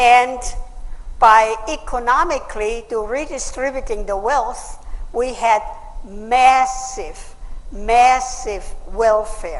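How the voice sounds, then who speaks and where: Lively intonation at a very slow pace, broken by long, frequent pauses, with noticeable background noise. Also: woman, high pitch for a woman. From Austria. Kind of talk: public speech.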